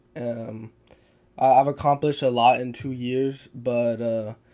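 A man with a Texan accent on a very clean recording with a silent background. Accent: Texan American. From Texas hill country. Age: 20s. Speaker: MMA fighter. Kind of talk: casual chat.

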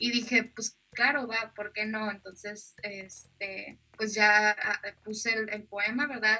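A woman's fairly high voice, monotone and flat, at a very slow pace. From northern Mexico, Nuevo Laredo, Tamaulipas. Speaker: poet. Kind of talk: interview. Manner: hesitant, many fillers.

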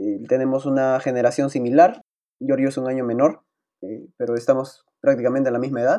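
In a dark, mellow tone, a man speaks. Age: 20s. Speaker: student podcast co-host. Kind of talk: casual chat.

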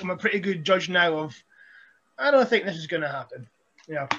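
A man with a Scottish accent speaks at a high pitch in a bright, sharp tone. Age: 30s. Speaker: professional wrestler. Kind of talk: casual chat.

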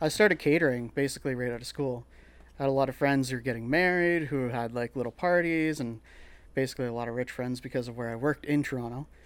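A man talks at a very fast pace in a Canadian accent. His pitch variation is ordinary. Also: medium pitch for a man. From Northern Ontario, Canada. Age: 30s. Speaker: chef and restaurant owner. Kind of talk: casual interview.

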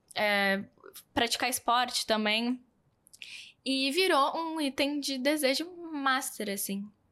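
In a very clean recording with a silent background, a woman with a high pitch uses a raised, projected voice, a very slow pace, ordinary pitch variation and long, frequent pauses. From southern Brazil. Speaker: influencer and fashion brand founder. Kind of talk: podcast interview.

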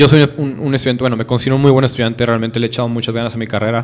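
Over noticeable background noise, a man speaks in a northern Mexican accent. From northern Mexico. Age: 20s. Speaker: law student. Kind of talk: casual chat.

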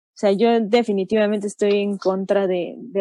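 In a dry, close recording with no echo, a woman with a medium-pitched voice and a dark, mellow tone speaks at a fairly slow pace. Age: 20s. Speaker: film festival event coordinator. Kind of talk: casual panel discussion.

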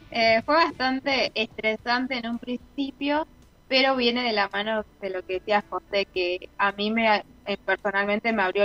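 A woman with an unremarkable speaking voice talks at a moderate pace. Her pitch sits fairly high, and the sound is dry and close with no echo. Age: 20s. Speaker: professional athlete. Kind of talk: interview.

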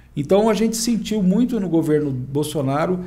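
At a moderate pace, a man with a dark, mellow tone and ordinary pitch variation speaks in a room with audible room echo. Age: 50s. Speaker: tax exemption consultant, wheelchair user. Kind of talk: casual interview chat.

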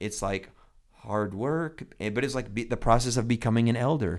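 A man speaks at a moderate pace with a medium pitch. It is an ordinary speaking voice with ordinary pitch variation. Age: 40s. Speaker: pastor and podcast host. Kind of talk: casual chat. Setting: studio.

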